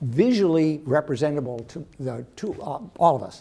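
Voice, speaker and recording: Using lively intonation and a Western American accent, the man has a fairly high pitch, a dark, mellow tone and vocal fry. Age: middle-aged. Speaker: professor. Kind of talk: lecture.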